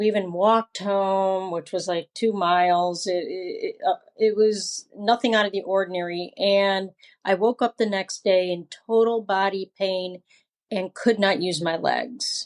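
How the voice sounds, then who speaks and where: Fairly slow speech with fairly even intonation in a dry, close sound with no echo. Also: woman, medium pitch for a woman. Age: 60s. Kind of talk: interview testimony. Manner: halting.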